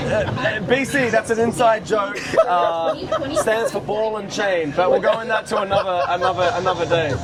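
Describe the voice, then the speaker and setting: A man speaks at a moderate pace with a high pitch and ordinary pitch variation. Crowd noise and audible room echo fill the background. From Australia. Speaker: airshow pilot. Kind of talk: interview.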